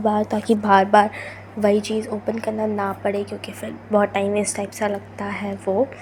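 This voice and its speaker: A woman talks at a fairly slow pace with a fairly high pitch. Noticeable background noise runs underneath. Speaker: student vlogger. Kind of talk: vlog voice-over. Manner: can't speak softly due to cold.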